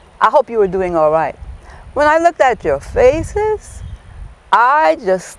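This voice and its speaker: A woman with an American accent speaks at a fairly slow pace. Her tone is warm and cheerful. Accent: Gullah. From South Carolina Lowcountry. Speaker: storyteller. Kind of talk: folk tale storytelling performance. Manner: warm, cheerful.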